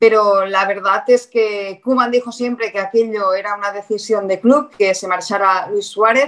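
A woman in a Catalan accent, medium-pitched, fairly slow, with fairly even intonation. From Catalonia (Figueres). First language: Catalan (speaking Spanish). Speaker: sports reporter. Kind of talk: casual interview chat.

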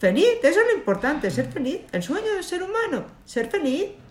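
Noticeable background noise and audible room echo surround a woman whose pitch swings very widely. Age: 50s. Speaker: lawyer and cancer survivor. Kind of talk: interview.

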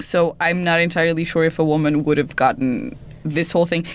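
This woman has a fairly low pitch. Her intonation is fairly even. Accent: Portuguese. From Portugal. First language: Portuguese. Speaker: podcast host. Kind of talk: scripted narration; casual chat.

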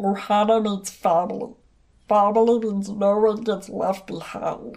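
This is a cartoonish character voice that sounds female, set at a medium pitch. It moves at a moderate pace with monotone, flat intonation. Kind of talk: cartoon movie line. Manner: playful, earnest.

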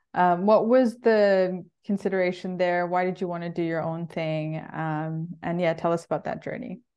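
This woman has a dark, mellow tone with a fairly low pitch and fairly even intonation. She keeps a moderate pace with hardly any pauses against a quiet background. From mixed (Bangladeshi and Swiss heritage, born in Bangkok). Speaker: podcast host. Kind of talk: interview.

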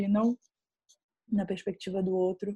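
The background stays quiet. At a moderate pace, a woman talks. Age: 20s. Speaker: filmmaker. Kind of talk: interview.

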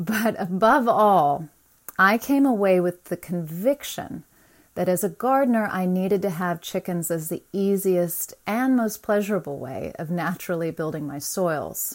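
A woman speaks in a plain, everyday voice at a medium pitch and a fairly slow pace, with ordinary pitch variation. The recording is very clean, with a silent background. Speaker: gardener, backyard chicken keeper. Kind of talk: recorded persuasive message. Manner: blunt, frank.

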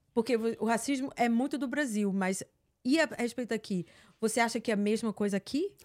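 A woman's ordinary speaking voice, fairly high in pitch with ordinary pitch variation and a fairly quick pace, on a very clean, dry, close recording with a silent background and no echo. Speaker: online content creator. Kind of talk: casual chat.

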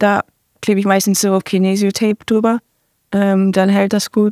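Moderate pacing from a woman, captured on a very clean recording against a silent background. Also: dry, close sound with no echo. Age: 20s. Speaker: professional football player. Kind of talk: interview.

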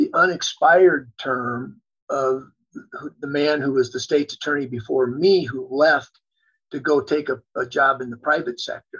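At a fairly slow pace, a man with an unremarkable speaking voice talks at a fairly high pitch with ordinary pitch variation. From US Midwest (South Dakota, Wisconsin). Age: 60s. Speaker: lawyer and lobbyist, former state attorney general. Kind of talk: interview.

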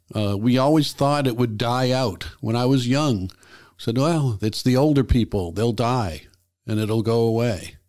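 Someone with an unremarkable speaking voice talks at a moderate pace in an American accent, with ordinary pitch variation. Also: man, medium pitch for a man. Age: 60s. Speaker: YouTube host. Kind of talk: personal commentary monologue.

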